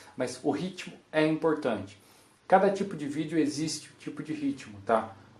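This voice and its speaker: Big swings in loudness at a moderate pace, with ordinary pitch variation and audible room echo. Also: man, fairly high pitch for a man. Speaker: copywriter giving a talk. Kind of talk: conference talk. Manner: animated.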